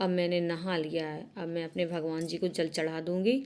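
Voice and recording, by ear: A woman speaks fairly slowly in a low voice with a slightly mellow tone. There is little movement in her pitch.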